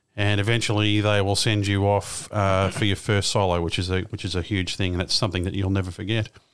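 In an Australian accent, a man with a fairly low voice talks at a very fast pace with hardly any pauses, very even loudness and monotone, flat intonation, on a very clean recording with a silent background. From Australia, Melbourne. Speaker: aviation podcaster and pilot. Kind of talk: interview.

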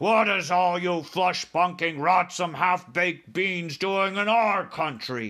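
A man bellows slowly in a put-on character voice, his pitch high and his tone bright and sharp. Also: ordinary pitch variation.

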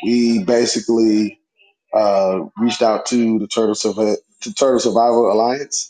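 A man speaks fairly slowly in a medium pitch. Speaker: audience member. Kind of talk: casual chat.

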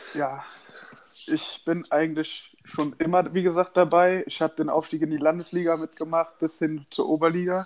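Speaking at a moderate pace, a man uses a high pitch with monotone, flat intonation. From Rhineland, Germany. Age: 20s. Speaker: handball player. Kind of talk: casual interview. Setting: remote call.

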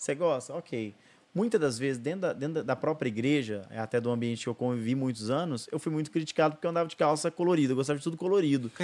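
The delivery is very fast. Its pitch moves in an ordinary way. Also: man, fairly high pitch for a man. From Brazil, Ribeirão Preto (São Paulo state). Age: 30s. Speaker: pastor and therapist. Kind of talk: testimony. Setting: studio.

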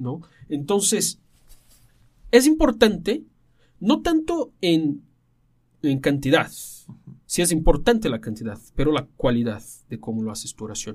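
A man speaks at a fairly high pitch with very wide pitch swings and big swings in loudness. He goes at a fairly slow pace, with long, frequent pauses. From Brazil. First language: Portuguese (speaking Spanish). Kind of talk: casual chat.

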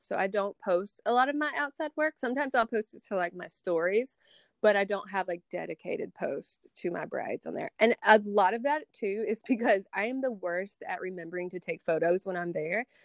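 A woman's lively intonation in a Southern US accent, with a dry, close sound and no echo. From Tupelo, Mississippi, US South. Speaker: beauty influencer and makeup artist. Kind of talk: casual chat.

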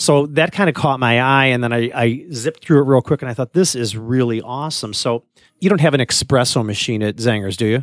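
An unremarkable speaking voice, a man at medium pitch with ordinary pitch variation talks at a fairly quick pace, the sound dry and close with no echo in a very clean recording against a silent background. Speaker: podcast host. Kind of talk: casual conversational podcast. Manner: chatty, interrupts.

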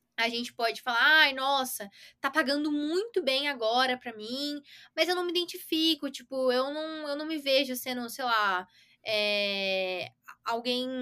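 A woman with a bright, sharp tone uses a raised, projected voice at a high pitch, with lively intonation, a fairly slow pace and long, frequent pauses. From Brazil, São Paulo area. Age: 20s. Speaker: iOS software developer. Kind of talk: casual interview.

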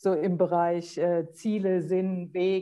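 A woman speaks in a dark, mellow tone. The background stays quiet. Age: 50s. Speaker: life coach and motorcyclist. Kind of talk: casual interview.

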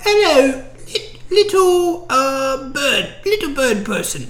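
A put-on character voice with a British accent speaks at a very slow pace and high pitch over light background noise. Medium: actual play. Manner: sweet yet mercenary, haggling.

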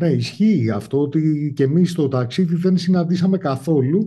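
Somewhat breathy, the voice has a dark, mellow tone and a moderate pace. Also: man. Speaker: podcast host. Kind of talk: casual interview.

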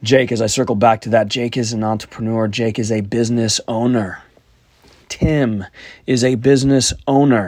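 An unremarkable speaking voice at a moderate pace with fairly even intonation. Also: man, medium pitch for a man. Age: 30s. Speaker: podcast host. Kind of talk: solo monologue podcast.

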